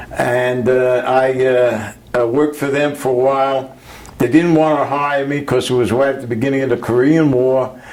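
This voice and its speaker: Against noticeable background noise, a man with a New York accent speaks at a moderate pace and medium pitch in a flat monotone. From Brooklyn, New York. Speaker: Navy veteran. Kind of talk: interview answer.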